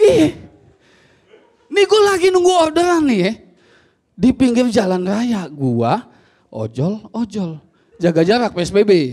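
Speaking at a very slow pace with long, frequent pauses, a man uses a high pitch and very wide pitch swings. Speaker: stand-up comedian and ojol driver. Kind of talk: stand-up comedy. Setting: stage with audience. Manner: complaining, unlucky-underdog persona, mimicking dialogue. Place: stage. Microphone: handheld.

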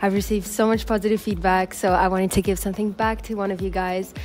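Faint music plays in the background. Over it, a woman talks at a very fast pace. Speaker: fitness vlogger. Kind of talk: casual vlog chat. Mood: cheerful, grateful. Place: garden.

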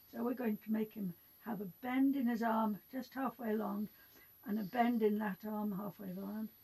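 She has an English accent and a somewhat breathy, dark, mellow tone. Her moderate pace comes with fairly even intonation. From England. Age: 80s+. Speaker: art teacher; drawing teacher. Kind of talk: tutorial. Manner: halting. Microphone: phone near.

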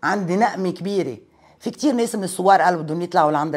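A woman's fairly low voice with ordinary pitch variation over a quiet background. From Lebanon, Metn; Lebanon. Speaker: parliamentary candidate; candidate. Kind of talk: interview. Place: home room. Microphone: lapel.

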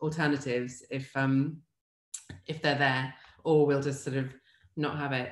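With audible room echo and a quiet background, a woman speaks at a moderate pace in fairly even intonation. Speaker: food writer and cook. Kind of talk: interview. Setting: video call. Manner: casual, humorous. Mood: warm, smiling, relaxed. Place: home room. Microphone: video call.

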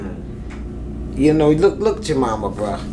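Noticeable noise fills the background. Through it, a woman talks fairly slowly. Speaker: interview guest. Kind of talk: interview answer. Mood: calm, reflective. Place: studio.

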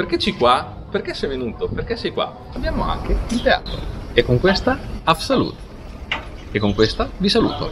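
Clear music plays behind a man speaking at a moderate pace with long, frequent pauses. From Romagna, Italy. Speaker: actor; actor explaining local dialect. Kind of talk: tutorial. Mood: cheerful, playful. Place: street.

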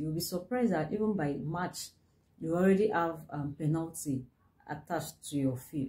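A woman speaks in a dark, mellow tone that is somewhat breathy. Her intonation is lively. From Nigeria. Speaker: business consultant. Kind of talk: tutorial. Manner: halting. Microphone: phone near.

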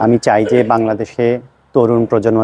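The man's dark, mellow tone comes through in a dry, close sound with no echo. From Bangladesh, Noakhali (Chatkhil). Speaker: parliamentary candidate. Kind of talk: campaign statement. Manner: halting.

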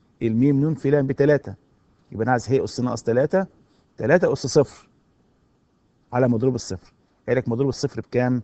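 A man speaks with an Egyptian accent at a fairly quick pace. His pitch is medium with ordinary variation. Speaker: university lecturer. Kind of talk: recorded lecture.

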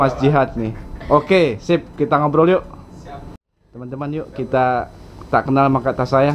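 A man talks at a fairly quick pace with medium pitch and fairly even intonation over light background noise. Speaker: vlogger. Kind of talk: vlog interview. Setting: student apartment. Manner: hesitant with fillers. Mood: friendly, joking. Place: home room.

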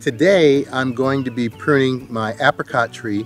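A man is speaking in a dry sound with no echo. Faint music plays in the background. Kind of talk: tutorial. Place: garden.

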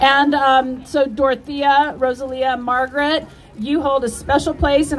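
Light background noise sits behind a woman's high voice as she speaks at a fairly slow pace. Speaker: event host. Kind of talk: public announcement speech. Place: street.

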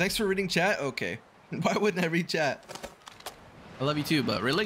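Against noticeable background noise, a high-pitched man speaks at a moderate pace with lively intonation and very even loudness. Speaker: gaming streamer. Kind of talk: live gameplay stream chat. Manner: casual.

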